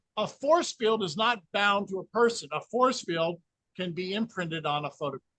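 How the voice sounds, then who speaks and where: A man's raised, projected voice, high in pitch, bright and sharp in tone, with lively intonation at a moderate pace, in a dry, close sound with no echo. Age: 60s. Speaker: energy healing researcher. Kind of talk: interview.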